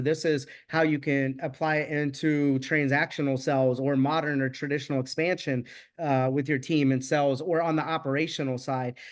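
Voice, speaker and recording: A man speaks in an ordinary speaking voice, fairly high-pitched with fairly even intonation, over a quiet background. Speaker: real estate mastermind host. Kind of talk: casual interview chat.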